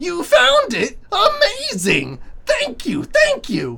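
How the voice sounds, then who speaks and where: This put-on character voice drags along at a very slow pace. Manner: grateful, effusive.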